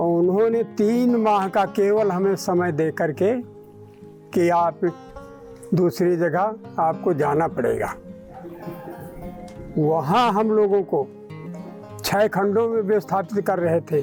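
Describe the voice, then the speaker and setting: With music in the background, a man speaks at a high pitch and very even loudness, leaving long, frequent pauses. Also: ordinary pitch variation. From Lakhimpur Kheri, Uttar Pradesh, India. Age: 60s. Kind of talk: interview answer.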